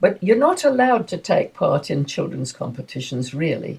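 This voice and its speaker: A woman speaks in an English accent. Her pace is moderate. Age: 80s+. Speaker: masters swimmer, former swimming coach. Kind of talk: interview answer. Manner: enthusiastic.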